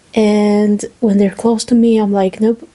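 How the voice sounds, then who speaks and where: A woman's fairly high voice with a non-native accent, at a very slow pace. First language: not English. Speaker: student vlogger. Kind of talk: casual vlog monologue.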